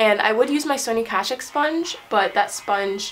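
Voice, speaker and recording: Over music in the background and audible room echo, a woman talks at a fairly high pitch. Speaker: beauty vlogger. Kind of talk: casual makeup tutorial. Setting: bathroom. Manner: fast; chatty.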